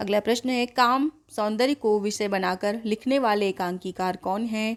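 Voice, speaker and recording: Her fairly high pitch shows ordinary pitch variation in what is an unremarkable speaking voice from a woman. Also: very clean recording, silent background. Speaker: Hindi exam coaching teacher. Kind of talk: quiz-style exam tutorial.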